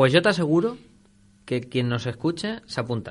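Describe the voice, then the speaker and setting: A man talks at a fairly high pitch and a moderate pace. The background is quiet. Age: 30s. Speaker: radio host. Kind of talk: casual chat. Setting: studio.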